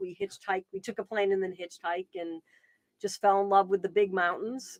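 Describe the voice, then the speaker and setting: A woman with an American accent speaks at medium pitch with ordinary pitch variation, the sound dry and close with no echo. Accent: Boston, still comes out. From Boston, New England. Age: 50s. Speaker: wildlife advocate and author. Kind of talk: interview conversation. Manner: hesitant, many fillers and restarts.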